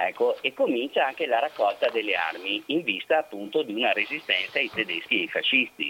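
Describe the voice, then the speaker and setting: With hardly any pauses, the man keeps up a fairly quick pace. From Vittorio Veneto, Veneto. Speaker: historian and researcher. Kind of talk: interview about history. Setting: phone call.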